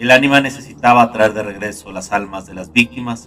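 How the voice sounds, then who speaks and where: Over music in the background, a man talks at a medium pitch and a fairly quick pace, with ordinary pitch variation. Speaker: narrator. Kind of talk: horror story narration. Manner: dark, gloomy.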